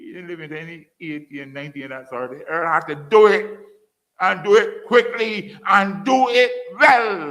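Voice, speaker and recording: An animated tone at a moderate pace, with audible room echo. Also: man. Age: 70s. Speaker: former politician and lecturer. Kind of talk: public lecture.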